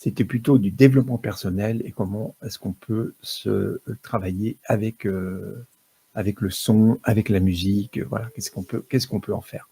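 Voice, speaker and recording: A somewhat breathy man with a dark, mellow tone and fairly low pitch speaks at a moderate pace with ordinary pitch variation and big swings in loudness, in a dry, close sound with no echo. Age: 60s. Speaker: music therapist. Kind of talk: talk to live audience. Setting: stage with audience. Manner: halting.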